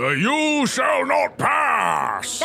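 Over clear background noise, a man puts on a character voice. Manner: commanding.

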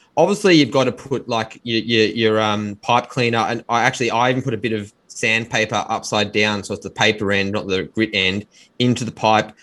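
A man with a strong Australian accent and a medium pitch speaks at a fairly quick pace with fairly even intonation on a very clean recording with a silent background. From Australia, Melbourne. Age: 30s. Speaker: pipe maker and restorer. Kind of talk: interview.

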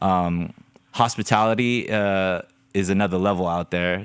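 Recorded very cleanly against a silent background, a man talks in an unremarkable speaking voice, fairly low in pitch with ordinary pitch variation. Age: 30s. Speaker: dance crew co-founder. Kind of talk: casual chat.

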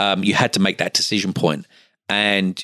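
In a slight Australian accent, a man speaks at a very deep, low pitch with a dry, close sound and no echo. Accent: English with slight Australian twang. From Essex, England. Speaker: patient finance business owner. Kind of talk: interview. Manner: halting with many fillers.

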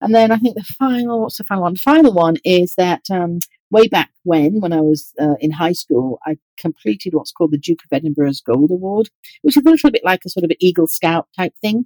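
Very wide pitch swings in a British accent, with a dark, mellow tone, a fairly quick pace and a dry, close sound with no echo. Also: woman, fairly low pitch for a woman. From England, East Yorkshire. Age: 50s. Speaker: organizational psychologist, group moderator. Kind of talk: interview.

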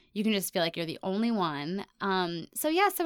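An unremarkable speaking voice moves at a fairly quick pace. The recording is very clean, and the background is silent. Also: woman. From US, Ohio and abroad. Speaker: self-love content creator with chronic illness. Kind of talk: interview.

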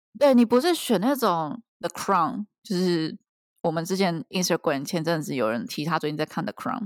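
On a very clean recording with a silent background and a dry, close sound with no echo, a woman speaks at a moderate pace in a fairly low voice with very wide pitch swings. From Taiwan. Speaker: PhD student abroad, podcast co-host. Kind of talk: casual chat.

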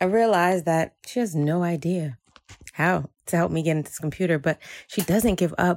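A normal speaking voice with an American accent moves at a fairly slow pace with ordinary pitch variation, captured in a very clean recording against a silent background. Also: woman, dry, close sound with no echo. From New Jersey (Jersey City), Haitian American family. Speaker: storyteller sharing a personal story. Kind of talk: personal storytelling.

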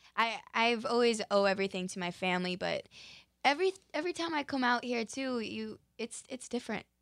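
A woman with an American accent and a plain, everyday voice speaks fairly quickly at a fairly high pitch with lively intonation, in a dry, close sound with no echo and a very clean recording with a silent background. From Utah. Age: 20s. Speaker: dancer and actress. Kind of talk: interview.

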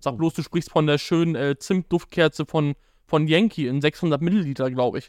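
This man has an ordinary speaking voice with fairly high pitch and ordinary pitch variation, talking at a moderate pace in a dry, close sound with no echo. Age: 20s. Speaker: advertising agency co-founder and podcast co-host. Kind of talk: casual chat. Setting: live stream on YouTube and TikTok.

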